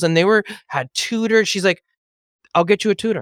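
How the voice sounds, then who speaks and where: With a Californian accent and an animated tone, a man speaks at a moderate pace on a very clean, dry, close recording with a silent background and no echo. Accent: Californian American English. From Los Angeles, US. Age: 30s. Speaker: real estate broker and author. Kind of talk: podcast interview.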